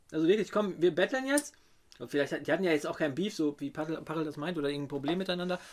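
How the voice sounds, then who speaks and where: This man's voice sits high in pitch. It rises and falls in an ordinary way. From Ruhr area, Germany. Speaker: rapper and beat producer. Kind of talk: casual interview. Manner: halting.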